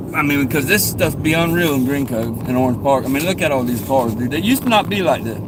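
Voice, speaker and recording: A man with a northeast Florida accent speaks at a fairly quick pace. Noticeable background noise and audible room echo surround him. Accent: Southern US, northeast Florida. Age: 40s. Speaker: live streamer. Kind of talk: casual live stream chat. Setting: in a car, driving. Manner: casual, rambling.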